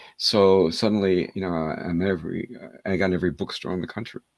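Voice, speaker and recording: A man with an American accent, very deep and low in pitch, at a fairly quick pace, on a very clean recording with a silent background. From New York City. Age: 70s. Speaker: hypnotherapist and author. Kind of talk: interview. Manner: halting.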